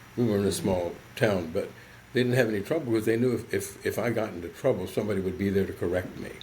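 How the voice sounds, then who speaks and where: Somewhat breathy and very fast, a man with an American accent talks at a fairly low pitch with ordinary pitch variation, and room echo is audible. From US South, southern West Virginia. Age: 70s. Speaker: psychologist. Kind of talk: podcast interview.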